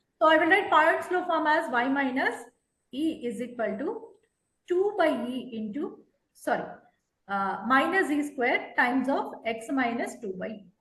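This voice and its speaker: At a fairly slow pace, a woman speaks in a high pitch with very wide pitch swings and audible room echo. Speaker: math tutor. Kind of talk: online tutoring lesson.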